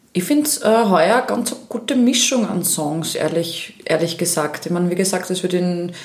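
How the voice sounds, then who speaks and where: There is noticeable background noise and audible room echo. A woman with a fairly low pitch speaks at a moderate pace with ordinary pitch variation. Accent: slight Styrian. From Austria, Upper Styria (Krieglach). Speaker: Eurovision fan club event organiser. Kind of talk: casual chat.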